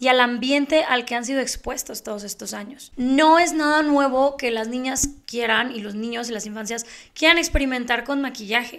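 At a moderate pace, a woman talks in a high pitch with a Mexican accent. Her pitch varies in an ordinary way, and the background is quiet. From Mexico. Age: 30s. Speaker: beauty youtuber and podcast host; beauty youtuber, podcast host. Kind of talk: casual monologue. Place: home room. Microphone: handheld.

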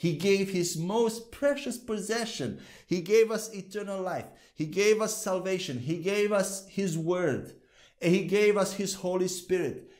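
Against a quiet background, the speech moves at a fairly slow pace with ordinary pitch variation. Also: man, high pitch for a man. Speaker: bible teacher. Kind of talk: sermon. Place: studio. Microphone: lapel.

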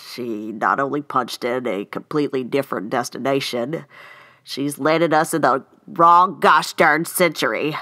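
A woman's cartoonish character voice, extremely low in pitch with a bright, sharp tone, ordinary pitch variation, a fairly slow pace and few pauses

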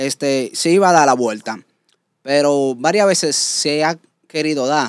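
A man speaks in an ordinary speaking voice at a fairly high pitch and a moderate pace. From Dominican Republic, Santo Domingo (Villa Juana). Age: 20s. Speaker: celebrity impersonator. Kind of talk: casual interview. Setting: studio.

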